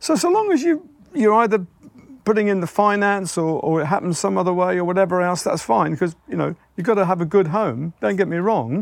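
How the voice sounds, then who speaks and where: A man with an English accent talks at a fairly quick pace and a high pitch. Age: 70s. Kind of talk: casual chat. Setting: outdoors.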